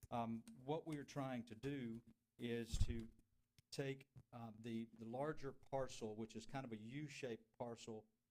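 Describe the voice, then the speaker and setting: A man speaks with a Southern US accent at a medium pitch. His intonation stays fairly even. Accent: US South. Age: 60s. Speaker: property applicant. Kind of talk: public hearing presentation. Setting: city council meeting. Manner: halting.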